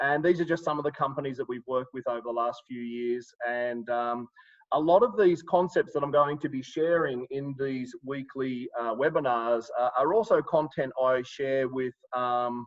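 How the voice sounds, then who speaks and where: A man speaks with an Australian accent at a medium pitch. His pace is moderate, with ordinary pitch variation. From Sydney, Australia. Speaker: life coach and trainer. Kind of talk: live webinar presentation. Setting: online video webinar. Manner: hesitant, many fillers.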